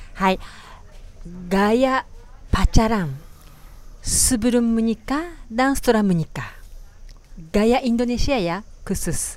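A woman with a Japanese accent at a fairly high pitch, lively intonation and long, frequent pauses. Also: moderate pace. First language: Japanese (speaking Indonesian). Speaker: podcast host. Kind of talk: casual chat. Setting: small restaurant.

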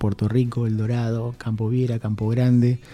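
Over music in the background, a man with a medium-pitched voice talks at a moderate pace. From Argentina, Misiones (Posadas). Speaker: university vice dean and dean candidate. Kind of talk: radio interview. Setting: radio studio.

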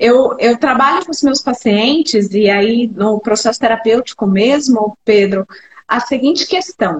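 Lively intonation at a very slow pace. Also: woman. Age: 40s. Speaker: cognitive behavioral psychologist. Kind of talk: casual chat.

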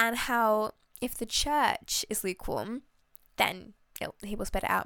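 Bright and sharp in tone, a woman's voice sits at a high pitch. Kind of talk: solo faith podcast talk. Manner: casual, many fillers.

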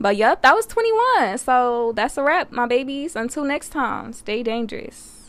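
Animated and high-pitched, a woman speaks at a moderate pace with ordinary pitch variation and hardly any pauses. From US, Detroit. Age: 20s. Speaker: podcast host, college student. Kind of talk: casual monologue.

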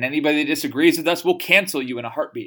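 An animated man with an American accent speaks at a very fast pace in a bright, sharp tone. The recording is very clean with a silent background. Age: 20s. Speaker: political podcast host. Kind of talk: political commentary monologue.

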